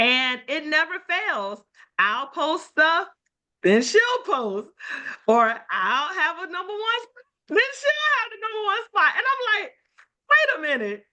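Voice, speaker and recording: A raised, projected voice with a bright, sharp tone, moving at a fairly slow pace with big swings in loudness, very wide pitch swings, an animated tone and long, frequent pauses. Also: woman, extremely high pitch for a woman. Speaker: life insurance team leader hosting a call. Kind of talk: casual call intro.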